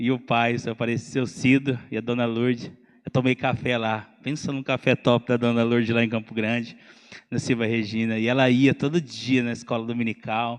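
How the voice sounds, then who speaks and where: A man at medium pitch, monotone and flat in intonation, at a moderate pace against a quiet background. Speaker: pastor. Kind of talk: sermon. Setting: church. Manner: loud.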